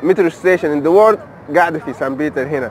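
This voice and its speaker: Male speech with ordinary pitch variation, a dry sound with no echo and light background noise. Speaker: travel vlogger. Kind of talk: casual vlog chat. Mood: cheerful, enthusiastic. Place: street. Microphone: phone near.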